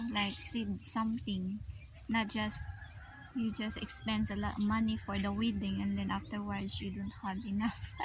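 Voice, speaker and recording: Moderately paced female speech against noticeable background noise. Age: 30s. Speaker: vlogger. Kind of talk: casual chat. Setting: outdoors.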